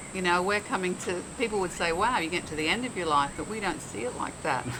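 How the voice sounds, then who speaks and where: A woman with an Australian accent speaks very fast at a fairly low pitch with lively intonation. Audible room echo and noticeable background noise are present. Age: 70s. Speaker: motorcycle owner, mental health vlogger. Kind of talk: casual interview.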